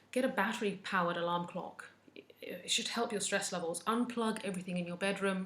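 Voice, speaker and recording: Audible room echo and noticeable background noise surround a woman speaking at a fairly quick pace. Her pitch is medium and her intonation fairly even. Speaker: wellness vlogger, mental health nurse. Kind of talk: casual advice talk to camera. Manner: occasional stumbling over words.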